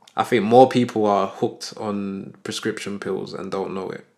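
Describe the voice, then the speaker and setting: A man with a British accent, fairly low pitch, moderate pace and fairly even intonation, on a very clean recording with a silent background. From UK. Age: 30s. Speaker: podcast co-host. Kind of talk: casual chat.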